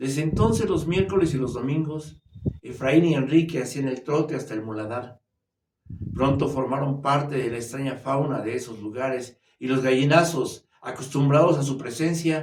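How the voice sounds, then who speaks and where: Audible room echo surrounds a man with a fairly high pitch. He speaks at a moderate pace with ordinary pitch variation. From Mexico City, Mexico. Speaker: storyteller. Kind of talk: reading aloud. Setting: virtual writers' fair.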